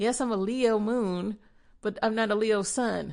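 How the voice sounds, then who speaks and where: This is a plain, everyday voice with ordinary pitch variation. The background is quiet. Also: woman. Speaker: podcast host; spiritual practitioner. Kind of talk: spiritual podcast talk.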